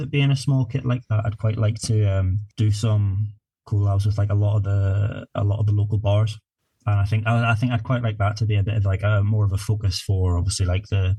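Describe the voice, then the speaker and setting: With a Northern Irish accent, a man speaks at a fairly quick pace and fairly low pitch. His intonation is monotone and flat, his loudness very even, and his voice somewhat breathy. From Northern Ireland, north coast. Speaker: craft brewer. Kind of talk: podcast interview.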